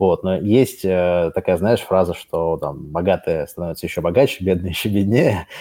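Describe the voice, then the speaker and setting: Very deep and low, this man's voice has a dark, mellow tone, ordinary pitch variation and hardly any pauses. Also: moderate pace, very clean recording, silent background. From Russia. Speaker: company CEO. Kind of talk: casual chat.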